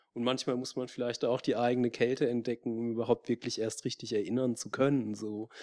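Fairly quick and with hardly any pauses, a man speaks at a medium pitch in a dark, mellow tone with monotone, flat intonation. The sound is dry and close with no echo, over a quiet background. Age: 30s. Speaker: moderator, social anthropologist. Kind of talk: panel discussion. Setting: stage with audience.

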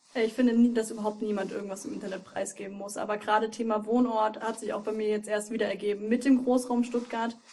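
A woman speaks very fast at a fairly high pitch in a monotone, flat intonation. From Thuringia, Germany. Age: 20s. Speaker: streamer. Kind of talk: casual chat.

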